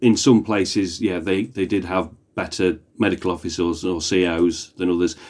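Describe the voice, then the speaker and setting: With a British accent, a man speaks at a very deep, low pitch and with fairly even intonation. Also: moderate pace. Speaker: historian. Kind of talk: casual chat.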